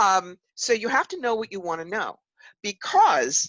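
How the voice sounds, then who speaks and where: A woman's fairly high, animated voice with a New York accent, dry and close with no echo. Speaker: psychic medium and author. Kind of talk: interview.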